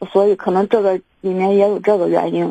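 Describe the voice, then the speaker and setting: In a dry, close sound with no echo, a woman of medium pitch speaks at a moderate pace with fairly even intonation. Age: 30s. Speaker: caller seeking relationship advice. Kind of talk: phone-in advice call. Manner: halting, many fillers.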